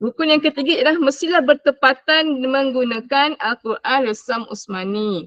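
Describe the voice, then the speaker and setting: A woman's high-pitched voice at a fairly slow pace, with lively intonation. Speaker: Quran recitation teacher. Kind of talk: online class lecture. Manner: loud, projecting. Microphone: voice too quiet, switched to mic.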